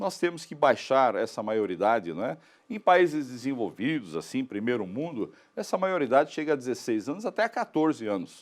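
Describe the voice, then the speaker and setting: A man's medium-pitched voice with vocal fry, very wide pitch swings and a moderate pace over a quiet background. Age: 70s. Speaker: political candidate. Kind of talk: live TV interview.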